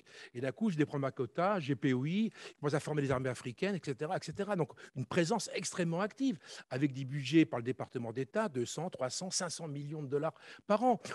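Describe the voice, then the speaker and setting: In a very clean recording with a silent background and a dry, close sound with no echo, a man talks very fast at a fairly high pitch with lively intonation. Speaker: conference panelist, former army officer. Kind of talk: conference talk.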